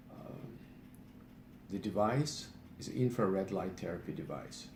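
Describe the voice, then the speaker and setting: A man speaks at a moderate pace with a somewhat breathy voice. Audible echo fills the room. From Eastern Europe. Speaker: patient sharing health remedy. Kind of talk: personal testimony video. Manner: halting, many fillers.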